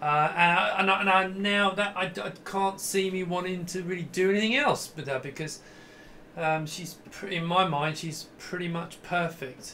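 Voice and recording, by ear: With audible room echo, a man with a high voice and a bright, sharp tone speaks at a moderate pace, using ordinary pitch variation.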